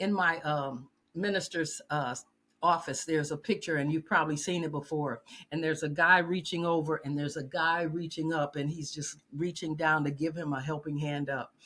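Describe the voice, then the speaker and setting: On a very clean recording with a silent background, a woman speaks at a very deep, low pitch. Her pace is moderate and her intonation fairly even. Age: 70s. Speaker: retired social services worker, speaker. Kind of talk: podcast interview. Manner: halting.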